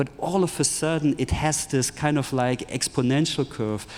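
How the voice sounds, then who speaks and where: A man speaks with a German accent in a fairly high voice, with ordinary pitch variation. Noticeable background noise runs behind him. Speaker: tech entrepreneur, futurist speaker. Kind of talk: conference keynote talk. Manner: animated.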